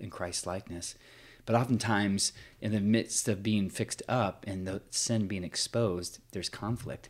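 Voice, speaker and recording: A normal speaking voice talks at a moderate pace with fairly even intonation on a very clean recording with a silent background. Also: man. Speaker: podcast co-host, prays and reads scripture. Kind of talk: casual conversational podcast chat.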